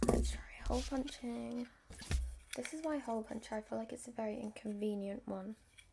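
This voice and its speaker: The speech runs at a fairly quick pace with long, frequent pauses amid noticeable background noise. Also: woman. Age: 20s. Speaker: ASMR creator / vlogger. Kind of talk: casual talk to camera, ASMR-style vlog.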